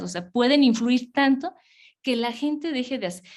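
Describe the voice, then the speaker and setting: A woman is speaking. Her pitch sits fairly high. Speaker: public health official. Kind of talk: webinar presentation. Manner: fast.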